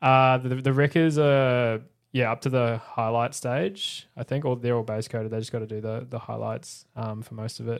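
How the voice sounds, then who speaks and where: A man with an Australian accent speaks at medium pitch and a moderate pace, with fairly even intonation and hardly any pauses. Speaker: podcast host. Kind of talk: casual chat. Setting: live-streamed podcast studio.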